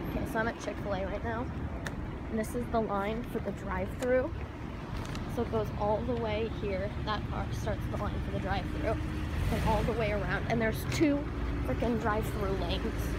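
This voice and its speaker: A woman's moderately paced voice, dry with no echo, over loud background noise. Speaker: vlogger. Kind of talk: casual vlog chat. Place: street. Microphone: phone near.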